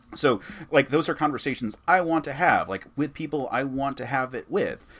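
A man with vocal fry speaks at a moderate pace. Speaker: podcaster and actor. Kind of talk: casual chat.

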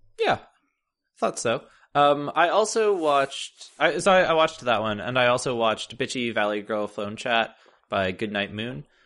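A man's unremarkable speaking voice at medium pitch, with lively intonation, a moderate pace and a quiet background. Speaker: podcast host.

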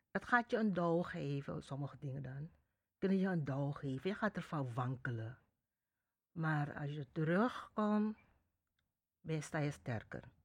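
With a very deep, low voice, a woman speaks fairly slowly and with lively intonation, leaving long, frequent pauses. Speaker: interviewee. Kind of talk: interview.

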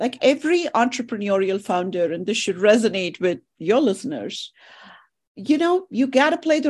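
Against a quiet background, a woman talks at a moderate pace. Her fairly high voice makes very wide pitch swings. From India. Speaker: wealth management firm co-founder and executive. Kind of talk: interview.

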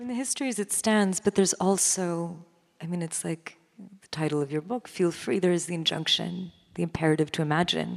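The pace here is fairly quick. It is an unremarkable speaking voice, its pitch varying in an ordinary way. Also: woman, fairly low pitch for a woman. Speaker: literary critic and interviewer. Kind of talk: onstage interview. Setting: stage with audience.

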